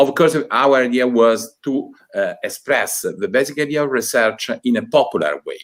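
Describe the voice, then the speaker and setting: Here a man talks at a moderate pace with hardly any pauses. He speaks in an Italian accent. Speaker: university department director. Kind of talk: opening speech. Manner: halting.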